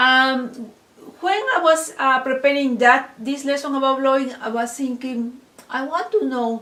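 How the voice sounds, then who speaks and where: A woman with a non-native accent speaks at a fairly slow pace. Her pitch is high, with ordinary variation. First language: not English. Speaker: online course instructor. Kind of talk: lecture. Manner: halting.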